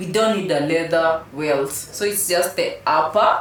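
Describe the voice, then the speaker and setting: A woman's fairly low voice with an African accent, ordinary pitch variation, audible room echo and noticeable background noise. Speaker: shoe designer and company head. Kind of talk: casual interview.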